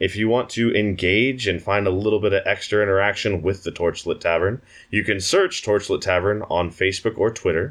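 An ordinary speaking voice, this man's fairly low pitch holds very even loudness and fairly even intonation at a fairly quick pace with hardly any pauses. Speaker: player in a tabletop RPG podcast, outro speaker. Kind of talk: casual banter and podcast outro.

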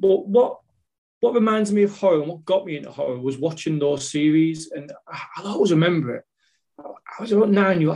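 In a plain, everyday voice, a man moves fairly quickly, his pitch varying in an ordinary way. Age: 40s. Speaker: podcast guest, horror fan. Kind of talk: casual chat.

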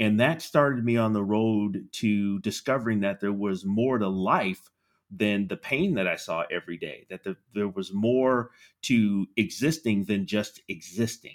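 A man talks at a fairly slow pace with an American accent and ordinary pitch variation. He has a normal speaking voice at a fairly low pitch. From California, San Francisco Bay Area. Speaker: army veteran and HR professional. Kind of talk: interview.

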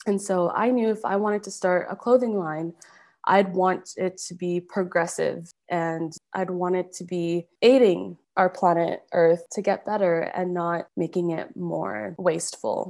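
A woman with a plain, everyday voice speaks in a Canadian accent at a medium pitch, fairly slowly and with hardly any pauses. Her intonation stays fairly even, and the recording is very clean with a silent background. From Calgary, Alberta, Canada. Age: 20s. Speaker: fashion brand founder. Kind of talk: interview.

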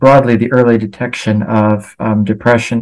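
A man with an American accent, medium in pitch, at a moderate pace against a quiet background. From US, Los Angeles. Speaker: researcher. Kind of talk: interview. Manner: hesitant, many fillers.

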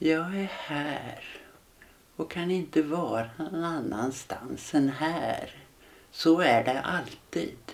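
This woman's very deep, low voice moves very slowly, with ordinary pitch variation. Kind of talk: guided meditation.

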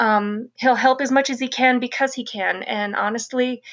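A woman with an American accent, monotone and flat in intonation, at a moderate pace over a quiet background. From Colorado. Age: 40s. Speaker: novelist. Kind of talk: casual chat.

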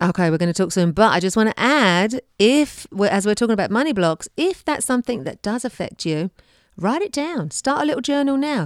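With an English accent, a woman speaks at a fairly high pitch and a fairly quick pace, her pitch swinging very widely, in a very clean, silent recording with a dry, close sound and no echo. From England. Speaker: podcast co-host and tapping coach. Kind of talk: casual chat.

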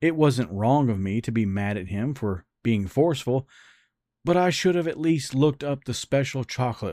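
On a very clean recording with a silent background, a man of medium pitch and dark, mellow tone speaks with lively intonation at a moderate pace, the sound dry and close with no echo. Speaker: podcast host reading a story. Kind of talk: literary audiobook reading. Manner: first-person narration, measured and intimate.

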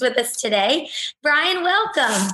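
A woman uses a raised, projected voice. Her pace is very slow. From Alabama. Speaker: podcast host, military spouse. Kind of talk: casual interview.

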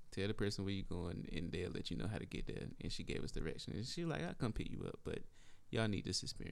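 A man with a very deep, low pitch and an American accent at a very fast pace, with audible room echo. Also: ordinary pitch variation. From rural northeastern North Carolina, near Lake Gaston. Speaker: podcast co-host, real estate agent. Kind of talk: casual chat.

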